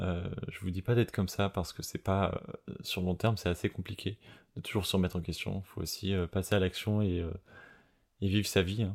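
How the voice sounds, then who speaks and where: In a very deep, low pitch, a man speaks with monotone, flat intonation at a moderate pace, leaving long, frequent pauses. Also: very clean recording, silent background. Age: 30s. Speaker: podcast host. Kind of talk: unscripted personal monologue. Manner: hesitant, many fillers and repetitions.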